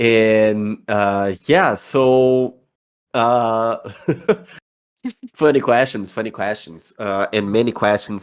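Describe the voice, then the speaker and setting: A man's fairly low voice with a Brazilian accent and fairly even intonation. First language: Portuguese. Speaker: community manager. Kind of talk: online community Q&A. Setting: voice chat on a community server.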